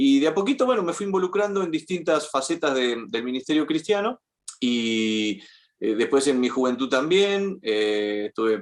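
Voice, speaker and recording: Very wide pitch swings run through a man's speech. He keeps a moderate pace. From Argentina. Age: 50s. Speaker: journalist. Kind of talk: interview conversation. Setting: podcast interview.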